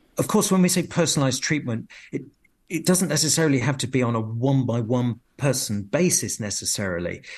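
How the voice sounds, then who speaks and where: Speaking fairly quickly with a British accent, a man with a medium pitch and somewhat breathy voice uses lively intonation against a quiet background. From UK. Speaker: professor of physiology, medical researcher. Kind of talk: radio interview.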